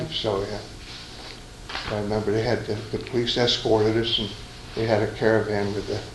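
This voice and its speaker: Over noticeable background noise, a man with an American accent talks fairly quickly, with long, frequent pauses. His intonation is monotone and flat. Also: fairly low pitch for a man. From Stroudsburg, Pennsylvania. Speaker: war veteran. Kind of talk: oral history interview answer.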